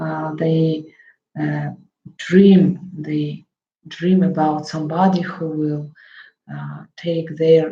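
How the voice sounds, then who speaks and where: Very slowly and in a monotone with flat intonation, a woman with a Russian accent speaks at a very deep, low pitch. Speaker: psychotherapist. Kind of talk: talk to camera on psychology. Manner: halting, many fillers.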